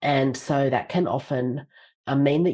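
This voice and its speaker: Against a quiet background, a woman with an Australian accent talks in a very deep, low pitch with a dark, mellow tone and ordinary pitch variation. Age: 50s. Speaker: leadership author and speaker. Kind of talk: podcast interview.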